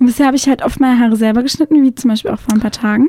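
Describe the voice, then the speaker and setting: At a very fast pace, a woman talks in a high pitch with a dark, mellow tone and ordinary pitch variation, the sound dry and close with no echo. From southern Germany, Konstanz on Lake Constance. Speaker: journalist and blogger. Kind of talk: radio interview. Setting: radio studio.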